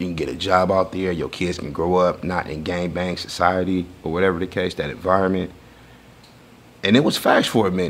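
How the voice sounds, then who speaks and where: A man talks at a fairly quick pace in a very deep, low voice. His intonation stays monotone and flat. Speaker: interviewee. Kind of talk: interview answer. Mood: candid, casual storytelling. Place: studio.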